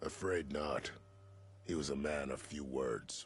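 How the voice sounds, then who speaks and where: A man puts on a growling character voice with very deep, low pitch. He speaks at a fairly slow pace. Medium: video game. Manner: plain-spoken, matter-of-fact.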